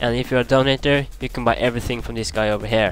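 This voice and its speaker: A man at a fairly quick pace over music in the background. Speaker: gamer. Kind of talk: game tutorial commentary.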